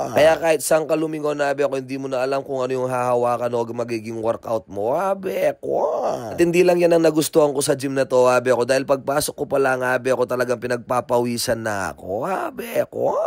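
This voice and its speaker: Medium in pitch, a man's voice moves at a very fast pace. His pitch variation is ordinary. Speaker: vlogger. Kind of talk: vlog narration. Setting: gym.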